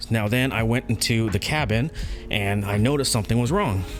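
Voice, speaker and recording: Music plays in the background as a man speaks. His pitch is medium, with ordinary variation. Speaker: car YouTuber. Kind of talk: DIY tutorial. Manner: speaking quietly.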